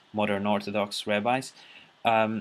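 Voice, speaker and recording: A man speaks at a very slow pace with a non-native accent. His tone is bright and sharp. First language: not English. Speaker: video blogger responding to a teacher. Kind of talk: casual monologue to camera. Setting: recording alone at a computer. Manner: halting, many fillers.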